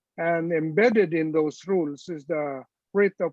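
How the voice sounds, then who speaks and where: A man with a Filipino accent and a fairly high pitch. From Philippines. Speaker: retired supreme court justice. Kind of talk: panel discussion. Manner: halting, frequent hesitations.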